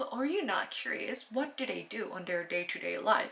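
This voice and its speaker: With a Korean accent, a woman speaks at a moderate pace and fairly high pitch with lively intonation over noticeable background noise. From South Korea. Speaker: language learning vlogger. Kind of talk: casual vlog talk. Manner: halting, many fillers and restarts; stutters.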